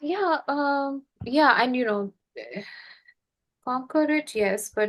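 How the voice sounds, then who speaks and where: A woman with a non-native accent speaks very slowly in a high voice with lively intonation. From India. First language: not English. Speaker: podcast host and healing facilitator. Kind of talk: casual conversation.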